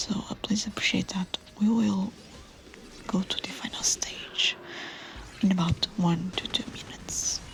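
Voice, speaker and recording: Whispering at a fairly slow pace with long, frequent pauses, over noticeable background noise. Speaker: VTuber. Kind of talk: soft-spoken gameplay commentary. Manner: soft-spoken.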